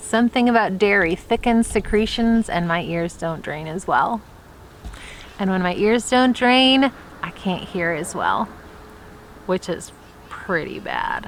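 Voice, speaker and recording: A woman with an American accent speaks at a fairly slow pace with ordinary pitch variation. She leaves long, frequent pauses over noticeable background noise. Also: medium pitch for a woman. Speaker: vlogger and homeschooling mom. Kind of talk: personal vlog talk to camera. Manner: loud.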